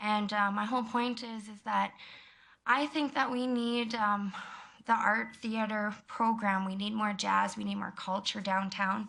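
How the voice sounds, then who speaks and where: In a western Canadian accent, a woman with a fairly high pitch and a bright, sharp tone speaks at a fairly slow pace with fairly even intonation amid audible room echo. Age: 20s. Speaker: member of the public speaking to council. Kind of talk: public comment at council meeting. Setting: council chamber. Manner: loud.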